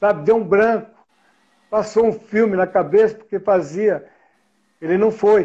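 Fairly slow and evenly intoned, a man speaks at a high pitch in a dark, mellow tone. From Brazil, São Paulo. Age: 70s. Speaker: classic car collector. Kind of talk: casual interview.

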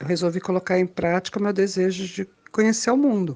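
Here is a woman with an unremarkable speaking voice. Medium in pitch, it varies in an ordinary way. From Brasília, Brazil. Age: 50s. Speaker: podcast co-host, traveler. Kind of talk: casual chat.

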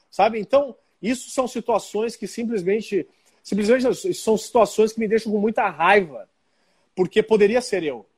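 A man speaks in a high voice at a moderate pace with ordinary pitch variation, on a very clean recording with a silent background. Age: 40s. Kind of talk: interview.

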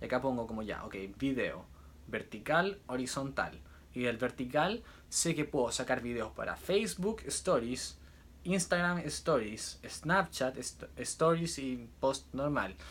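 Lively intonation at a very slow pace. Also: man, medium pitch for a man. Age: 20s. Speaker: musician and social media creator. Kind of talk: casual vlog monologue. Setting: on a cruise ship. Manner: intense, nonstop talking.

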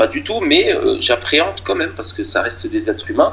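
Noticeable background noise is present as a man talks. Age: 40s. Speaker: amateur football coach. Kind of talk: interview. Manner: halting, many repeated words.

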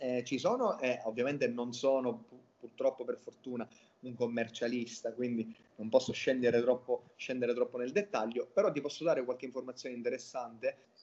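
A man at medium pitch with fairly even intonation. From Sicily, Catania. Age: 30s. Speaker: visual designer. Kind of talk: interview. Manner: hesitant, many fillers and repetitions.

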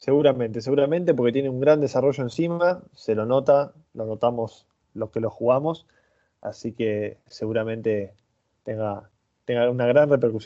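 In a plain, everyday voice, a man keeps a moderate pace and medium pitch, varying it in an ordinary way. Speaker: podcast co-host. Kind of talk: interview.

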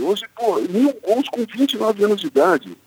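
Music plays in the background as the speaker talks at a fairly slow pace in a dry, close sound with no echo. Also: man. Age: 50. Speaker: sports journalist. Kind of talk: radio interview.

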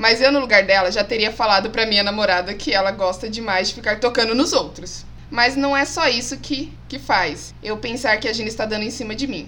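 A woman's fairly high-pitched voice at a fairly quick pace, hardly any pauses, with noticeable background noise. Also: ordinary pitch variation. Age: 30s. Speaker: geography teacher. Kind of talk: casual chat.

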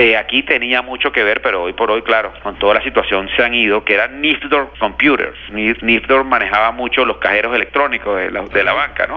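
Against noticeable background noise, a man talks with hardly any pauses and ordinary pitch variation. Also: medium pitch for a man, fairly quick pace. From Venezuela, Caracas. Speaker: former basketball league executive. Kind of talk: interview.

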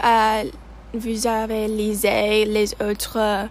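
The speaker is a woman. She talks with an English accent. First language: English (speaking French). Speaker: student podcast host. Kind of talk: casual interview.

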